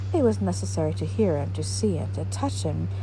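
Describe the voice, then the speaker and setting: Over music in the background, a woman speaks at a fairly quick pace with a very deep, low pitch. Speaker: ASMR reader / narrator. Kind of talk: soft-spoken ASMR literary reading. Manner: soft-spoken, quiet.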